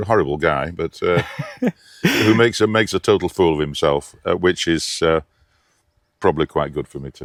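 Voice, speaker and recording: A man with a northern English accent and a very deep, low pitch talks at a moderate pace with ordinary pitch variation, big swings in loudness and long, frequent pauses, in a dry, close sound with no echo. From Lancashire, England. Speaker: opera singer. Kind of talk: interview answer.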